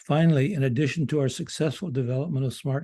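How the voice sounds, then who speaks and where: A man's somewhat breathy voice, dark and mellow in tone, medium in pitch, very fast in pace and fairly even in intonation. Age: 80s+. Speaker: school project leader presenting a close-out report. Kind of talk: prepared presentation read from a script. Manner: formal; occasional halting restarts.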